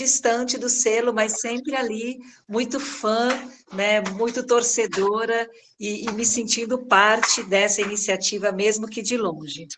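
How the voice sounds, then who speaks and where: Spoken with a São Paulo accent, the delivery is fairly slow and the intonation fairly even. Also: woman. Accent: São Paulo accent, daughter of Spaniards. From São Paulo, Brazil. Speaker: head of a children's agency regional office. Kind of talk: welcome speech in online meeting. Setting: video call.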